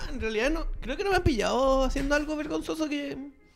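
Through noticeable background noise, a man talks very fast with lively intonation. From Chile, Magallanes region. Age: 30s. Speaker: music producer and sound technician. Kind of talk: casual chat.

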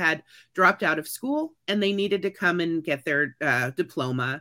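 In a Midwestern American accent, the speaker sounds animated and bright, sharp in tone, at a moderate pace in a very clean recording with a silent background. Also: woman. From Kansas City, Missouri. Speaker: teacher and comedian. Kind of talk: interview.

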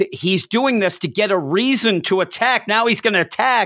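Over a silent background in a very clean recording, a man speaks at a moderate pace with lively intonation. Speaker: comic book podcast host. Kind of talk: casual chat.

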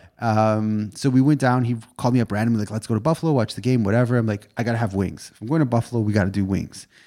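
With a Canadian accent, a man talks at a very fast pace with hardly any pauses, in a medium pitch with ordinary pitch variation. His tone is dark and mellow, on a very clean recording with a silent background. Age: 30s. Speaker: realtor and podcast co-host. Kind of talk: casual chat.

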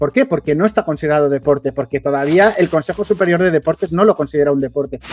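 Speaking at a very fast pace with hardly any pauses, a man uses a fairly high pitch and ordinary pitch variation, the sound dry and close with no echo. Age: 30s. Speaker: esports commentator. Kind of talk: interview.

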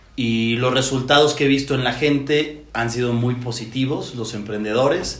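The man talks at a moderate pace with hardly any pauses, medium pitch and fairly even intonation. Noticeable background noise and audible room echo fill the recording. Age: 30s. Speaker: entrepreneur and business coach. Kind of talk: casual interview.

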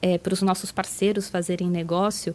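Intonation stays monotone and flat. The woman's pitch is medium. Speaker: tech company partner manager. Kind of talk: interview.

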